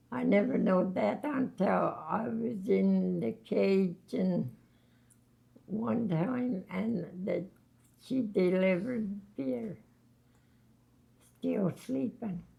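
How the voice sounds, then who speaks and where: Very wide pitch swings and vocal fry mark a dark, mellow tone delivered at a very slow pace with long, frequent pauses. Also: woman, medium pitch for a woman. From Labrador, Canada. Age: 80s+. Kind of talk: interview answer. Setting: long-term care home.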